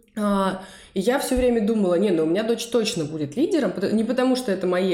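Her intonation is lively and her pitch fairly high. The woman talks at a very fast pace. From Russia, Saint Petersburg. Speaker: podcast co-host, psychologist. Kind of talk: casual chat.

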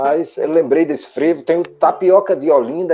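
A dark, mellow male voice, high-pitched, at a fairly slow pace with ordinary pitch variation. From Paulo Afonso, Bahia, Brazil. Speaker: guitarist. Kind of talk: interview. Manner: halting, repeats words.

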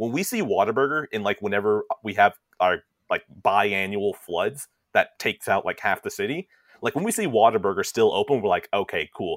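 A man talks at a fairly quick pace with an American accent. The sound is dry and close, with no echo. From Texas. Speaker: guest co-host. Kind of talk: casual comedic chat.

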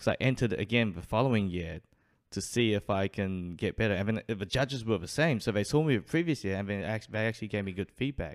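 Speaking very fast, a man uses a New Zealand accent with fairly low pitch and ordinary pitch variation. The recording is very clean, with a silent background. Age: 20s. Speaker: street performer. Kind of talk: casual chat.

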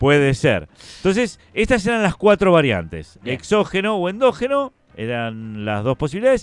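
Against music in the background, the voice moves through very wide pitch swings. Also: man. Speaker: radio co-host. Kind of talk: casual chat.

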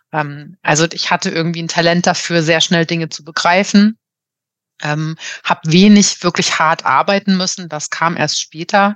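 Speaking at a moderate pace with fairly even intonation, a woman with a fairly low pitch comes through in a dry, close sound with no echo over a quiet background. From Germany, Marburg (Hesse). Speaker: organisational consultant and coach. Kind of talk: casual interview. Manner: hesitant, many filler sounds.

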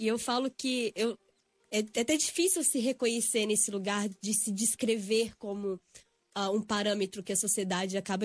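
A woman has a plain, everyday voice, pitched fairly high. She speaks at a moderate pace with ordinary pitch variation. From Brazil, Belo Horizonte (Minas Gerais). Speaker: yoga and spiritual healing instructor. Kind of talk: casual interview. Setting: radio studio.

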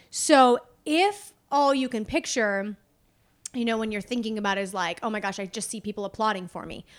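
In a very clean recording with a silent background, a woman has an ordinary speaking voice, fairly high pitch, ordinary pitch variation and a fairly quick pace. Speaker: podcast co-host. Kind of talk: casual chat.

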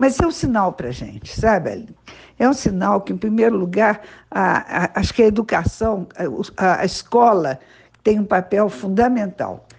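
Her loudness swinging widely, a woman with vocal fry speaks at a moderate pace in a medium pitch. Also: lively intonation. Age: 70s. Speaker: veterinarian and municipal agriculture secretary. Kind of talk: interview. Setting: school radio podcast.

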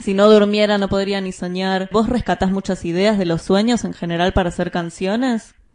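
A woman with a Rioplatense accent speaks at a moderate pace and medium pitch in a monotone, flat delivery with hardly any pauses. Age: 20s. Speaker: podcast host. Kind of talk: scripted narration.

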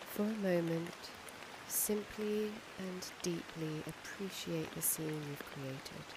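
Noticeable background noise runs under a woman speaking at a very slow pace with a calm, gentle tone. Her pitch is fairly low, with ordinary variation. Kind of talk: guided meditation. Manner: slow, soft-spoken, soothing; calm, gentle, with long pauses.

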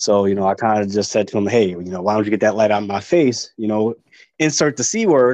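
Talking at a very fast pace, a man uses medium pitch and ordinary pitch variation. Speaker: Marine Corps veteran. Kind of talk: casual interview chat. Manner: fast talker.

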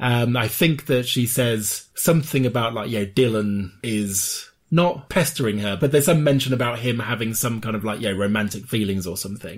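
With hardly any pauses, a man of medium pitch speaks at a moderate pace, somewhat breathy and with ordinary pitch variation, in a very clean recording with a silent background. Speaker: podcast co-host. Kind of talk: casual chat.

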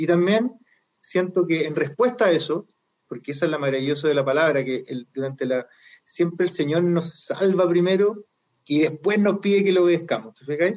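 A man with a high pitch, moderate pace, ordinary pitch variation and big swings in loudness. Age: 40s. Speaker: lay preacher. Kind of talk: casual chat.

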